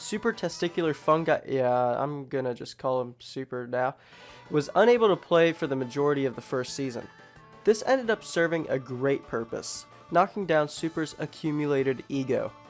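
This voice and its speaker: Music in the background behind a man with a fairly high pitch and lively intonation. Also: moderate pace. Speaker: fan documentary narrator. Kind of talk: comedic documentary narration.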